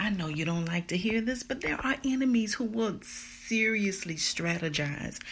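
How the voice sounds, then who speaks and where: A woman speaks at a fairly slow pace, somewhat breathy, with lively intonation. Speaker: podcast host and motivational speaker. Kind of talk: motivational talk. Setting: live stream. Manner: calm.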